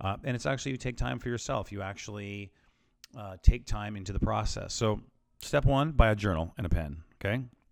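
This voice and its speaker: This man talks at a fairly quick pace with a fairly low pitch, vocal fry, lively intonation and big swings in loudness, on a very clean recording with a silent background. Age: 40s. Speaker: self-help podcaster. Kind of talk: solo motivational talk. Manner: casual, many filler words.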